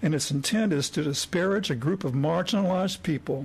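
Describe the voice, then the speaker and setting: A man with an unremarkable speaking voice. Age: 60s. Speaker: retired psychologist, citizen commenter. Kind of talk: public comment speech. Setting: county commissioners court meeting.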